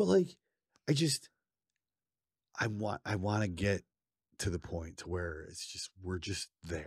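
A man speaks at a very slow pace with long, frequent pauses, his fairly low voice somewhat breathy and his intonation lively, in a dry, close sound with no echo and a quiet background. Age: 30s. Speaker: podcast co-host. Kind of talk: casual chat.

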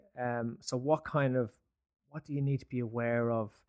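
A man with an Irish accent speaks at a moderate pace and a medium pitch with fairly even intonation, the sound dry and close with no echo in a very clean recording with a silent background. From Ireland. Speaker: podcast co-host, HR tech advisory founder. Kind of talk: interview.

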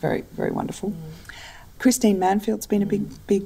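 Speaking fairly quickly, a woman talks in an Australian accent. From Australia, Adelaide. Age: 50s. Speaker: book publisher. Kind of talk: interview.

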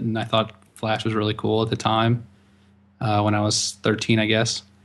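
Over a quiet background, a man speaks at a medium pitch and a moderate pace. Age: 20s. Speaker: web designer and agency partner. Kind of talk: casual chat.

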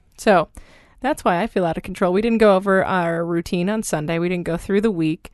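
A woman's plain, everyday voice at a medium pitch, fairly quick, with ordinary pitch variation and a quiet background. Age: 30s. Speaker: podcast host and small business owner. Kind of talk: casual chat. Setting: home closet studio.

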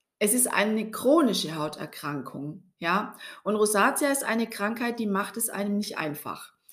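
Fairly high in pitch, a woman has an unremarkable speaking voice with lively intonation. She talks at a fairly slow pace. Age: 40s. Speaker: podcast host and skin health coach. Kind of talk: personal storytelling monologue.

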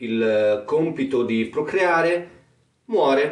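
With a Romagnolo accent, a man talks at a medium pitch. Audible room echo surrounds his voice. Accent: Romagnolo Italian. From Romagna, Italy. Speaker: podcaster. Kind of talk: comic monologue. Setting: attic room at home. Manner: casual.

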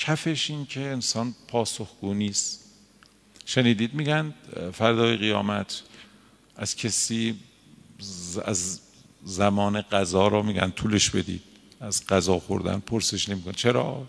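Pitch variation is ordinary, and the pace is very slow. Long, frequent pauses break up the speech. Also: man, fairly low pitch for a man. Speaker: cleric teaching a seminary lesson. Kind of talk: lecture. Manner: conversational, colloquial.

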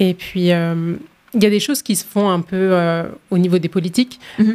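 A woman with a plain, everyday voice and medium pitch talks at a fairly quick pace, her intonation fairly even. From France. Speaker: women's rights organization worker. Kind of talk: panel discussion.

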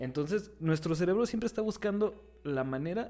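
A man with a normal speaking voice, lively intonation and a fairly slow pace. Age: 20s. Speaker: podcast co-host, political scientist. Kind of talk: casual chat.

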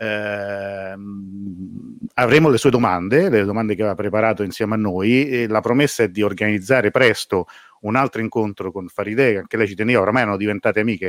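The delivery is very fast with fairly even intonation. The recording is very clean, with a silent background. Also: man, fairly low pitch for a man, dry, close sound with no echo. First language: Italian. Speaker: live stream host. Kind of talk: live stream interview.

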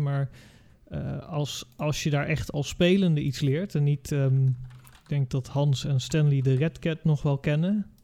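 A man's fairly high, somewhat breathy voice with a dark, mellow tone at a moderate pace. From Curaçao. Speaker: design teacher. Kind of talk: casual chat.

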